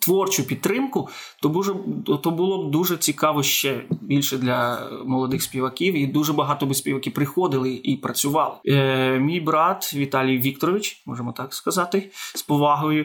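This man speaks with an unremarkable speaking voice, pitched fairly high, at a moderate pace. His pitch varies in an ordinary way. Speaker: opera singer. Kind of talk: interview.

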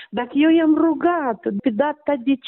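Speaking at a very slow pace, a woman has a high pitch. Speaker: bereaved mother of a patient. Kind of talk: testimony.

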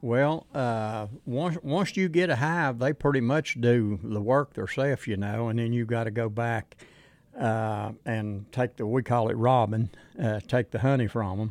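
A man with an Appalachian accent on a very clean recording with a silent background. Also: medium pitch for a man, ordinary pitch variation, fairly slow pace. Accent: Appalachian Southern US. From Southwest Virginia mountains. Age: 70s. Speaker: beekeeper. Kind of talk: interview. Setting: outdoor event. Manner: halting.

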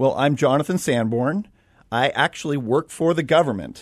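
Over a quiet background, a man with a normal speaking voice and fairly high pitch talks at a moderate pace with very even loudness. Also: ordinary pitch variation. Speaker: radio show guest; government faith community liaison.

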